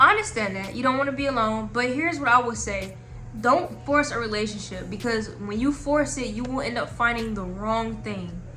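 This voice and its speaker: With music in the background and audible room echo, a woman talks at a moderate pace. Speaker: advice vlogger. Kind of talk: casual advice monologue. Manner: halting.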